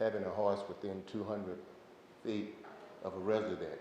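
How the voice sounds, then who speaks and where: Moderately paced speech from a man with fairly low pitch, amid audible room echo and noticeable background noise. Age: 70s. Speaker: member of the public addressing city council. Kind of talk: public comment at council meeting.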